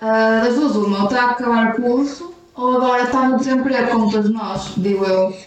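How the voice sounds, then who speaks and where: High-pitched and very even in loudness, a woman talks at a fairly quick pace with hardly any pauses. Her pitch varies in an ordinary way, over noticeable background noise. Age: 20s. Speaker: co-host, host's sister. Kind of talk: casual chat. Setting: recording at home via computer.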